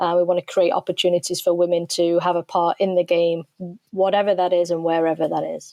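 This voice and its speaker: Someone with an English accent talks at a fairly quick pace in a dark, mellow tone with monotone, flat intonation. The sound is dry and close, with no echo. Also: woman, fairly low pitch for a woman. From England. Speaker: soccer coach. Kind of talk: interview.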